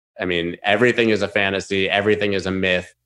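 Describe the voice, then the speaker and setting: A man with a plain, everyday voice, fairly low in pitch, speaks at a fairly quick pace with fairly even intonation over a quiet background. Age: 40s. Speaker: crypto trader and former DJ. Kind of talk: interview.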